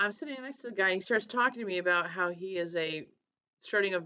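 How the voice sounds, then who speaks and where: A woman speaks at a fairly quick pace in an animated tone. Her pitch is medium. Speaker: manifesting vlogger and career coach. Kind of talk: casual vlog monologue.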